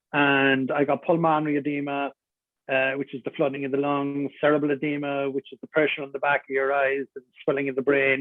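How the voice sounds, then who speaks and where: A man with a Cork accent at a fairly quick pace, big swings in loudness. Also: fairly high pitch for a man. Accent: Cork Irish. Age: 60s. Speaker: adventurer and motivational speaker. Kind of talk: interview conversation. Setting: radio studio. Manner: animated.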